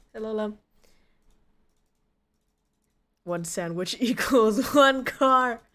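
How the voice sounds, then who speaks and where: A woman puts on a squeaky, croaky character voice at a fairly high pitch, speaking at a very slow pace with long, frequent pauses. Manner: mocking.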